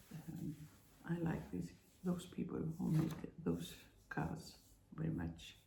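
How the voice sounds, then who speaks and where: Speaking with a non-native accent, a woman talks at a very slow pace with long, frequent pauses. Audible room echo surrounds her voice. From Iceland. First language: Icelandic. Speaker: spiritual vlogger. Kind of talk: personal testimony monologue. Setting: at home. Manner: halting, many fillers.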